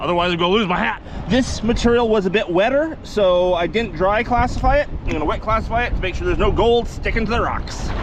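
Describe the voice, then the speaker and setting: A high-pitched man rattles along at a very fast pace with hardly any pauses and lively intonation, amid noticeable background noise and audible room echo. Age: 50s. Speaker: gold prospector, video host. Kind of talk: casual vlog narration. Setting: outdoors at a river. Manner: chatty, talkative.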